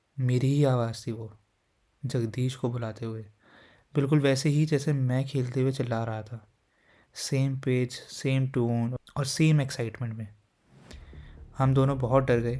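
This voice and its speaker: A man's medium-pitched voice, dark and mellow in tone, flat and monotone, with long, frequent pauses. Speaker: horror story narrator. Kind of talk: horror story narration. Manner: calm, conversational.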